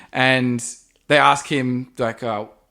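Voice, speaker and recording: A man with an Australian accent is heard on a very clean recording against a silent background. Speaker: podcast co-host. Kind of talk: casual chat.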